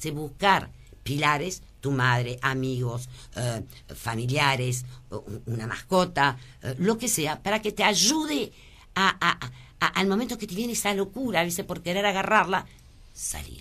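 A woman's very deep, low voice with a bright, sharp tone, very wide pitch swings, a fairly slow pace and long, frequent pauses. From born in Lebanon, French family. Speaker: businesswoman. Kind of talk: radio interview. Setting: radio studio.

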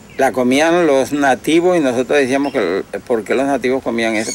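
A man's medium-pitched voice with lively intonation at a fairly quick pace, over noticeable background noise. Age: 70s. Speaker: rural elder interviewee. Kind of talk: documentary interview.

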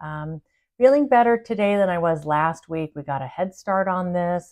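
Over a quiet background, a woman speaks at a fairly low pitch and a fairly slow pace. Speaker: spiritual channel host. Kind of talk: casual vlog chat. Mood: warm, upbeat. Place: home room. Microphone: phone near.

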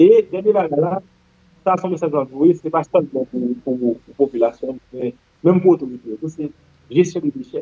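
This man talks fairly slowly with a fairly high pitch, a dark, mellow tone and ordinary pitch variation, leaving long, frequent pauses in a dry, close sound with no echo. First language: Haitian Creole (speaking French). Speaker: general practitioner. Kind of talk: interview. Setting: studio.

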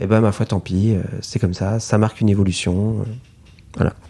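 The tone is dark and mellow, delivered at a moderate pace. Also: man. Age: 30s. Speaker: illustrator and author. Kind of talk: interview. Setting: artist's studio. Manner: hesitant, many fillers.

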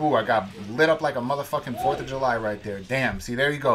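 Music plays in the background. A man with an American accent speaks at a fairly quick pace. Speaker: tournament player and commentator. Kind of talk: sports commentary. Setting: recorded voiceover over match footage. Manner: casual, matter-of-fact play-by-play; profane, laid-back banter.

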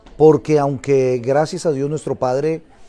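Faint music plays in the background while a man talks at a fairly slow pace. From Colombia. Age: 50s. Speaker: missionary pastor. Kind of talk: interview testimony. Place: church. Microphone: lapel.

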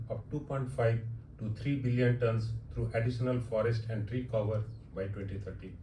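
A man speaks at a moderate pace. Room echo is audible, with light background noise. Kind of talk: formal speech. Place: hall.

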